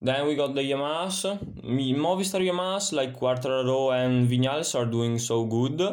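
A medium-pitched man with an Italian accent at a moderate pace. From Italy. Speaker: motorsport podcaster. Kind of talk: solo sports commentary podcast. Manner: halting, many fillers.

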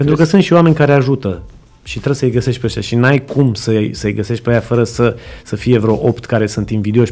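This man speaks at a medium pitch. His delivery is very fast, and his pitch varies in an ordinary way. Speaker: entrepreneur and business mentor. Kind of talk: interview.

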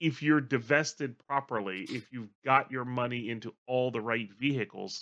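This man talks at a moderate pace in a medium pitch, his tone bright and sharp with ordinary pitch variation. The background is quiet. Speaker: producer filling in as host. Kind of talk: unscripted casual conversation.

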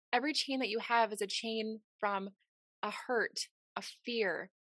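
An ordinary speaking voice with fairly even intonation moves at a moderate pace, recorded dry and close with no echo and a quiet background. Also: woman. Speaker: podcast host. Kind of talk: interview conversation, warm and motivational.

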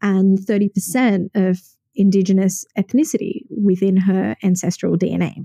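A woman's somewhat breathy, dark and mellow medium-pitched voice with an Australian accent, very slow pace and ordinary pitch variation, in a dry, close sound with no echo. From Sydney, Australia. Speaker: podcast host and wellness coach. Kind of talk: solo podcast monologue.

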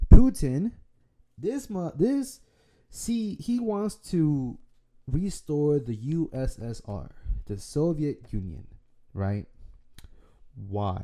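A man with an American accent speaks very slowly, with long, frequent pauses, a fairly high pitch, very wide pitch swings, and a dark, mellow tone, in a very clean recording with a silent background. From Dallas, Texas. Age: 20s. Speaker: podcast host. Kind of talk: casual solo monologue. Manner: rambling, filler-heavy.

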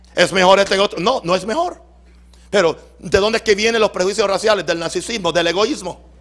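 A man talks fairly quickly in a high pitch, with ordinary pitch variation. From Puerto Rico. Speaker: pastor. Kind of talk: sermon. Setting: church.

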